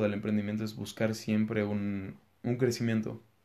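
A man talks at medium pitch and a moderate pace. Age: 20s. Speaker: young entrepreneur and business student. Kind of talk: interview.

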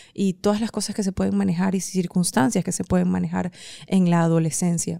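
At a moderate pace, a woman with a fairly low pitch and a dark, mellow tone speaks with lively intonation in a dry, close sound with no echo. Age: 30s. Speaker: podcast host and writer. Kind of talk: motivational monologue. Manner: hesitant fillers.

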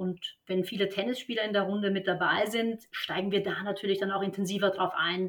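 At a fairly quick pace, the woman talks in a medium pitch. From Austria, Vienna. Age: 30s. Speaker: tennis coach. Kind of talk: podcast interview.

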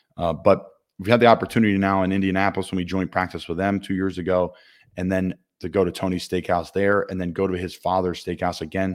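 A man with a Philadelphia accent, very deep and low in pitch, at a very fast pace, on a very clean recording with a silent background. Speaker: football player and podcast host. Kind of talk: casual sports talk show. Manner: conversational, upbeat.

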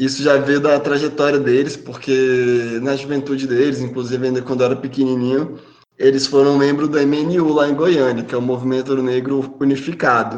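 Speaking at a moderate pace with hardly any pauses, a man uses a fairly high pitch and monotone, flat intonation, with audible room echo. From Brasília, Brazil. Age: 30s. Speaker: podcast panelist. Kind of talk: personal testimony.

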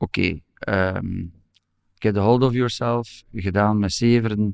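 The voice moves at a very slow pace with fairly even intonation, and the sound is dry and close with no echo. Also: man. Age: 50s. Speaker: law professor and lawyer. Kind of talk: personal testimony interview.

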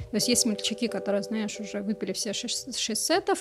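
In this recording, a woman talks at a fairly quick pace over noticeable background noise. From Moscow, Russia. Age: young. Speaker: coffee book editor and coordinator. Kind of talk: casual chat.

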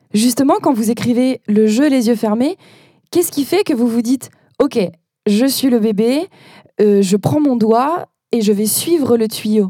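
A woman speaks at a fairly high pitch with a dark, mellow tone, fairly slowly and with long, frequent pauses. Her loudness stays very even, and the sound is dry and close with no echo. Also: lively intonation. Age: 20s. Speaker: podcast host, children's librarian. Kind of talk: interview.

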